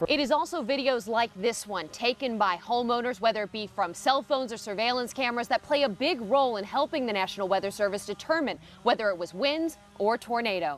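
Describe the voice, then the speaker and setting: Over noticeable background noise, a woman speaks very fast at a fairly high pitch with lively intonation. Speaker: TV news anchor and reporter. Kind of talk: live TV news report.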